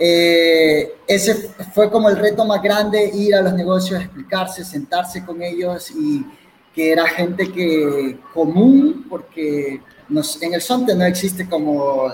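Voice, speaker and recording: A man with a Salvadoran accent speaks at a fairly slow pace and high pitch. His intonation is lively, with noticeable background noise behind him. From El Salvador, coastal community. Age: 30s. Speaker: bitcoin community organizer. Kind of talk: online interview.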